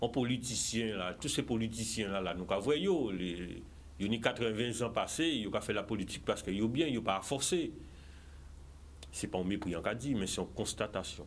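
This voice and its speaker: Here a man talks at a medium pitch with lively intonation. His pace is moderate. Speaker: political candidate. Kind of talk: TV interview. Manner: animated.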